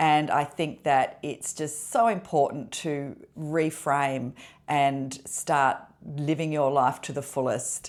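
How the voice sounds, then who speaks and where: A woman at a very deep, low pitch, with fairly even intonation and a very slow pace, in a very clean recording with a silent background. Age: 60s. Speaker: lifestyle vlogger. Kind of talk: personal vlog monologue. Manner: conversational, with fillers.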